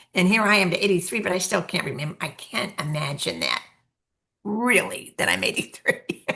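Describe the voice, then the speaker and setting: Her medium-pitched voice has a bright, sharp tone and vocal fry, moving at a moderate pace. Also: ordinary pitch variation. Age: 80s+. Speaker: podcast co-host, elder. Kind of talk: casual chat.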